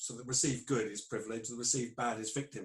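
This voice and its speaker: A man talks at a fairly quick pace with a British accent. His voice is somewhat breathy, with fairly even intonation. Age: 60s. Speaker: clinical psychologist. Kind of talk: interview.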